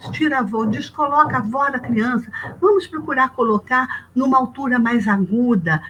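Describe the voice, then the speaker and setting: Noticeable background noise sits behind a woman's voice. She talks at a moderate pace with lively intonation. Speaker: music professor. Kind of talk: webinar talk.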